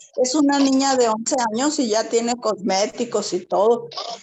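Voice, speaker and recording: Noticeable background noise behind a woman's fairly high voice, with ordinary pitch variation. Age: 60s. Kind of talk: personal testimony in online workshop.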